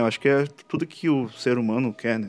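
A man talks at a fairly quick pace in an unremarkable speaking voice. His pitch sits in the medium range. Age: 20s. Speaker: podcast host. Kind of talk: casual solo monologue.

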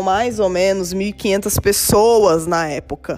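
The intonation stays fairly even. It is a plain, everyday voice. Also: woman. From São Paulo, Brazil. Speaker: podcast host, logistics professional. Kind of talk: solo podcast monologue.

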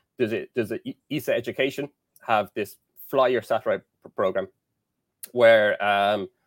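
A man speaks with an Irish accent. His pitch sits in the medium range. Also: very clean recording, silent background. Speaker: engineering lecturer. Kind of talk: casual interview.

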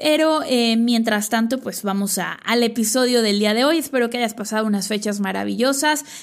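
Here is an ordinary speaking voice from a woman at a fairly high pitch. She keeps a moderate pace with hardly any pauses and ordinary pitch variation. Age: 30s. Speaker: business coach podcaster. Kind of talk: solo podcast monologue.

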